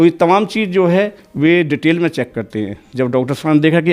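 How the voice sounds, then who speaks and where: A man with a fairly high pitch uses an ordinary speaking voice and lively intonation over a quiet background. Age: 60s. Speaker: devotee giving testimony. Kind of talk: testimony interview.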